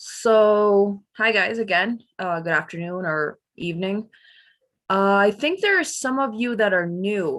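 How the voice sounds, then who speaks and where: Against a quiet background, a woman talks with a New York accent. She speaks at a fairly slow pace and a medium pitch. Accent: New York American English. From US, New York. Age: 20s. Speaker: English teacher. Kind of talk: online class. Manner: casual.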